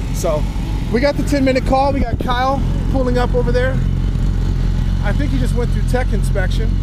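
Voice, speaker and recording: The speech moves at a fairly quick pace. The sound is dry with no echo, but loud background noise is present. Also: man. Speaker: motovlogger. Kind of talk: casual vlog chat. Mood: upbeat, friendly. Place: open country. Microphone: phone near.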